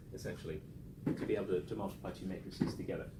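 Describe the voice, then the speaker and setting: Audible room echo surrounds this man as he rushes along at a very fast pace. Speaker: statistics lecturer. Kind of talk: lecture.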